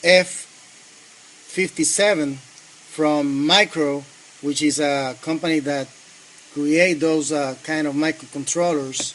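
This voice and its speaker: This speaker talks at a very slow pace in a Spanish accent, with long, frequent pauses. The intonation is fairly even, and there is noticeable background noise. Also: man, fairly high pitch for a man. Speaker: engineering student. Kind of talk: project demonstration. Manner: halting, many fillers.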